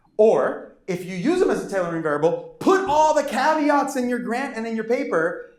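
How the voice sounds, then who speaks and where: A man's pitch swings very widely as he talks, with audible room echo around him. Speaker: professor. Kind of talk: lecture. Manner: fast; animated.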